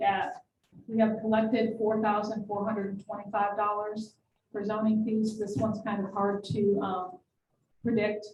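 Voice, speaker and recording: A woman's fairly high, somewhat breathy voice with a dark, mellow tone and an American accent. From New York. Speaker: city finance official. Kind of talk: budget presentation at council meeting. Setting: city council meeting.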